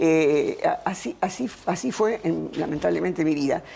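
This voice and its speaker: A woman is speaking. Noticeable background noise runs behind her. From Argentina, Buenos Aires province. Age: 80s+. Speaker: philosopher. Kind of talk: interview. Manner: halting.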